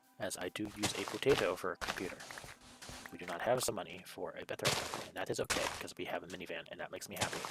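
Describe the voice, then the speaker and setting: Over music in the background, a man talks quietly at a very fast pace. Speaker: gaming streamer. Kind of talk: live gameplay commentary. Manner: quiet, subdued; monotone droning.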